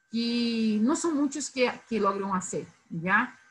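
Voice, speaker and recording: Her intonation is lively and her pitch fairly high. The woman talks at a very slow pace. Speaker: university lecturer. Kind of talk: lecture.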